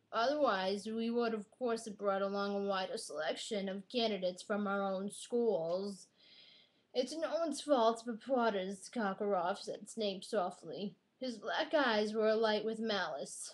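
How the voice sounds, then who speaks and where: A woman puts on a raspy character voice at a medium pitch. She moves at a moderate pace with ordinary pitch variation. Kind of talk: book excerpt reading.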